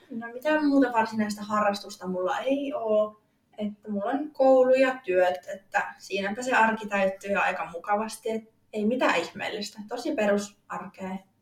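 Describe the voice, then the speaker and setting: A woman with an unremarkable speaking voice talks at a moderate pace, fairly high in pitch with ordinary pitch variation. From eastern Finland, Joensuu. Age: 20s. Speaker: fitness athlete. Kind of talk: interview.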